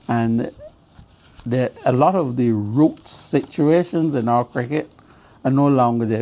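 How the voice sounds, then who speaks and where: Against noticeable background noise, a man talks at a moderate pace with a medium pitch and ordinary pitch variation. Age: 80s+. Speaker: former cricket administrator. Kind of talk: interview.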